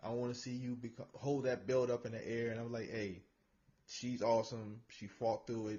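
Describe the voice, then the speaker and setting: A man speaks in a medium pitch at a moderate pace. His voice is somewhat breathy, with monotone, flat intonation. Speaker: show host. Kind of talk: casual podcast interview.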